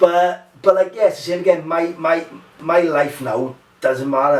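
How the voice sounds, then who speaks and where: Over noticeable background noise, a man talks in an animated tone. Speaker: MMA fighter and mental health podcaster. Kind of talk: casual chat. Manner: loud.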